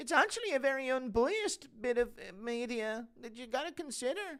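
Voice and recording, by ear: In a put-on character voice, the speaker uses a high pitch and a moderate pace.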